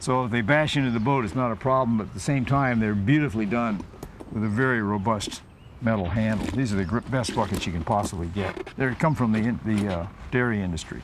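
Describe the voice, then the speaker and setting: There is noticeable background noise and audible room echo. Through it, a man talks at a very fast pace with ordinary pitch variation. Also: medium pitch for a man. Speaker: sailor. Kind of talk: casual show-and-tell; documentary interview.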